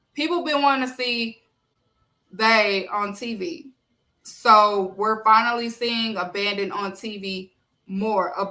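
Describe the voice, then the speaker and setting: A woman with a Southern US accent at a fairly high pitch, fairly slow, with long, frequent pauses, big swings in loudness and ordinary pitch variation. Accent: country, Southern US. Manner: casual, conversational.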